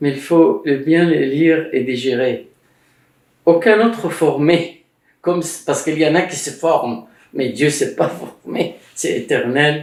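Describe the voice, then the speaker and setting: The speaker moves at a very slow pace, leaving long, frequent pauses. Pitch varies in an ordinary way. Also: man, fairly high pitch for a man. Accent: Arabic. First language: Arabic (speaking French). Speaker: Egyptologist and author. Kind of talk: casual conversation about religious history. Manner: halting, many hesitations.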